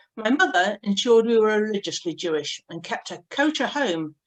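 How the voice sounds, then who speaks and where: A woman with a slight Yorkshire accent talks at a moderate pace, her fairly high pitch carried by lively intonation. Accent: slight northern Yorkshire lilt. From northern England, Yorkshire (Pontefract). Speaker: synagogue member. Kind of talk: personal life talk.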